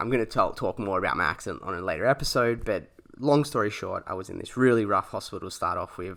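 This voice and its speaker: A man with an Australian accent speaks at a very fast pace in a bright, sharp tone, captured in a very clean recording with a silent background. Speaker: podcast host. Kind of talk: personal storytelling. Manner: halting, many fillers.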